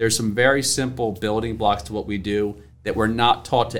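Talking at a fairly quick pace with an American accent, a man has an ordinary speaking voice at medium pitch with ordinary pitch variation. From Maryland Eastern Shore (Salisbury). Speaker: financial advisor. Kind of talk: interview.

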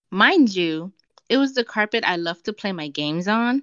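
A woman talks with an American accent in an unremarkable speaking voice. Her pace is fairly slow and her intonation lively. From United States. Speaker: podcast guest reading own story. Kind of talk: reading aloud.

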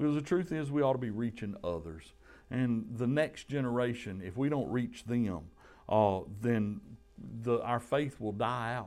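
Music plays in the background as a man speaks at a moderate pace. His pitch is medium and his intonation lively. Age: 50s. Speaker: pastor. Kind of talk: sermon. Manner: halting.

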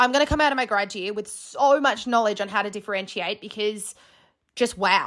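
Fairly quick speech from a woman, pitched fairly high, with ordinary variation in pitch. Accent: Australian. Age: 20s. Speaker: podcast host and graduate teacher. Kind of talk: casual monologue.

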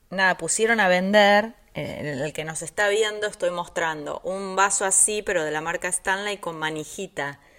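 Here is a woman with an ordinary speaking voice and medium pitch. She keeps a moderate pace with ordinary pitch variation and hardly any pauses. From Argentina. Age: 50s. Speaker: podcast co-host, nutrition professional. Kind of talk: casual chat.

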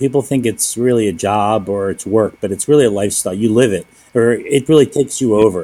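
A man with a medium pitch and a dark, mellow tone talks at a very fast pace, with hardly any pauses and ordinary pitch variation. The recording is very clean, with a silent background. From US Northeast, Philadelphia. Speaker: restaurant owner. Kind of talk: casual interview.

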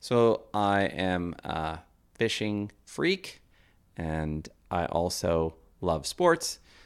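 At a very slow pace, this voice carries a Canadian accent and ordinary pitch variation. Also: man, very deep, low pitch for a man. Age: 50s. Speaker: podcast co-host. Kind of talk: casual chat.

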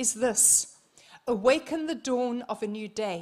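A woman speaks in a New Zealand accent with a high pitch. Her tone is animated and her intonation lively. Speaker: visiting minister. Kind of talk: sermon. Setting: church service.

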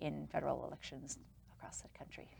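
A woman with an American accent talks at a very fast pace. Her voice has vocal fry. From New York City. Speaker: small business owner. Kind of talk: interview.

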